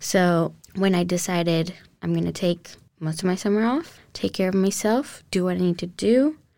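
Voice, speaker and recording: The voice has a dark, mellow tone and a Spanish accent, moving at a moderate pace with ordinary pitch variation. The recording is very clean, with a silent background. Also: woman, medium pitch for a woman. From Colombia (Cali), moved to Houston at 12. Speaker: university student. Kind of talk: interview testimony.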